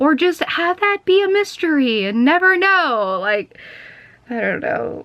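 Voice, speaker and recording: Loud and animated, this voice moves at a fairly slow pace with very wide pitch swings over noticeable background noise. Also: woman, high pitch for a woman. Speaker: vlogger. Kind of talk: casual vlog chat. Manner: loud, projecting.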